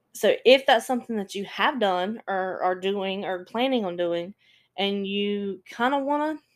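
An ordinary speaking voice from a woman, medium in pitch and moderate in pace, in a very clean recording with a silent background. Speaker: true crime podcast host. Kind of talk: casual storytelling monologue. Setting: solo podcast recording.

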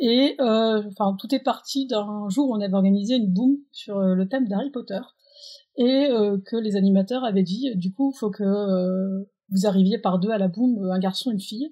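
At a moderate pace, a woman talks in a medium pitch, her voice somewhat breathy and her pitch varying in an ordinary way. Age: 20s. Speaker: president of a holiday camp organisation. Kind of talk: interview.

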